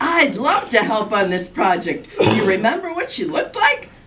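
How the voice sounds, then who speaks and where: A woman speaks in a put-on character voice at a high pitch. She keeps a moderate pace. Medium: read story. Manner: stand-up comic patter.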